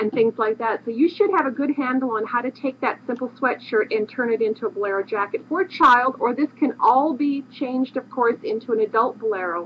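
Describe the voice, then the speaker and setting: Noticeable background noise sits behind a woman's high-pitched voice. She talks at a fairly quick pace with lively intonation. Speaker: craft book author and designer. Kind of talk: tutorial. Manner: fast.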